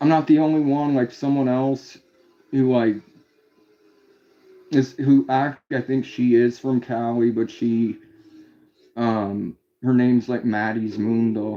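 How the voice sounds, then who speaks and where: A man at a very slow pace, with fairly even intonation and long, frequent pauses. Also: medium pitch for a man. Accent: Indiana. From US Midwest, Indiana. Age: 30s. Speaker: live streamer. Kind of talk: casual chat. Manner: halting, many fillers.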